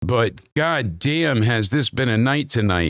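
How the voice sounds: Putting on a character voice, a man sounds hoarse at a medium pitch, with lively intonation and a fairly slow pace.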